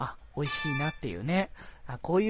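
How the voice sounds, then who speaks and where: A man speaks at a fairly quick pace in a fairly high, somewhat breathy voice with lively intonation. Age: 20s. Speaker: podcast host. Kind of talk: casual solo talk. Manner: relaxed, laid-back pace; frequent laughter and fillers.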